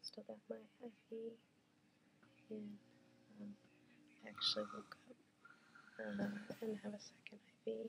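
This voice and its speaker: A woman speaks quietly at a fairly slow pace, with long, frequent pauses. Her loudness swings widely. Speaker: spinal surgery patient vlogger. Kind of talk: casual vlog greeting. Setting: hospital room. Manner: quiet, hushed. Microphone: very quiet recording.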